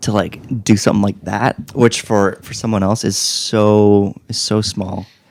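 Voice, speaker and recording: A man talks at a fairly slow pace in a fairly low, monotone, flat voice, with hardly any pauses. Noticeable background noise runs underneath. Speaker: podcast co-host. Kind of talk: casual chat.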